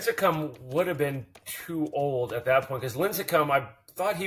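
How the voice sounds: With ordinary pitch variation, a man speaks in a fairly bright tone carrying a slightly husky edge.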